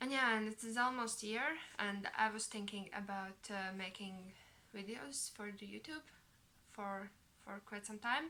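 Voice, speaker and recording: A woman's fairly high voice with a bright, sharp tone, ordinary pitch variation and a moderate pace. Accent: non-native. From Latvia. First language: Latvian. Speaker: knitting vlogger. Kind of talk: casual vlog monologue. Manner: halting, many fillers.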